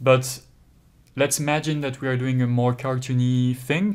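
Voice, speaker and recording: Speaking with a French accent, a man with a medium pitch talks at a moderate pace with fairly even intonation on a very clean recording with a silent background. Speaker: 3D software tutor. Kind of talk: tutorial. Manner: hesitant, with frequent fillers.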